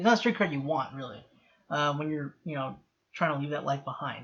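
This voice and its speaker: Here a man speaks with a fairly high pitch. His pitch variation is ordinary. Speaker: TV show reaction youtuber. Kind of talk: solo reaction and review commentary. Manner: fast, sometimes hard to understand; casual with many fillers and restarts.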